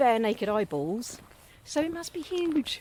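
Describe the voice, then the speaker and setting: A woman with a southern English accent speaks at a fairly slow pace with very wide pitch swings. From south coast of England. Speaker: local authority board member and former TV producer. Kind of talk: casual podcast conversation. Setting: outdoors at dusk.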